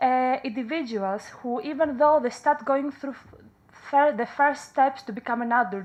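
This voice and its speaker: In a Greek accent, the speaker goes at a moderate pace with ordinary pitch variation and big swings in loudness against a quiet background. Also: woman, high pitch for a woman. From Greece. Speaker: counselling psychologist. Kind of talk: conference talk. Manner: halting.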